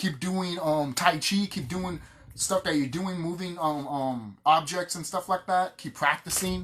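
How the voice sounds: Fairly high pitch and a fairly bright tone from a man, with ordinary pitch variation at a fairly slow pace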